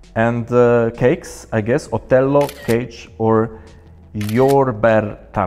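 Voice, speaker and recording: A man with a Polish accent speaks very slowly at a medium pitch, his intonation fairly even. Music plays in the background. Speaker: sports journalist. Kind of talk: interview.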